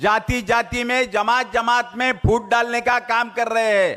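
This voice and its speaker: A man's raised, projected voice at an extremely high pitch, bright and sharp in tone, with monotone, flat intonation, on a very clean recording with a silent background. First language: Marathi (speaking Hindi). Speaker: politician. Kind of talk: political speech.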